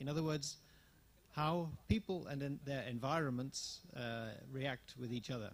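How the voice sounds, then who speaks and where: Somewhat breathy and fairly high for a man, his voice moves at a fairly slow pace with ordinary pitch variation. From England. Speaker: managing director of a tourism network, workshop speaker. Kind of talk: conference presentation. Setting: workshop with audience. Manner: halting, many fillers.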